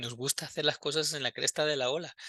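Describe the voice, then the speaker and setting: The man's tone is bright and sharp, at a moderate pace. The sound is dry and close, with no echo. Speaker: university lecturer. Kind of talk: lecture. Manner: casual, conversational with frequent fillers.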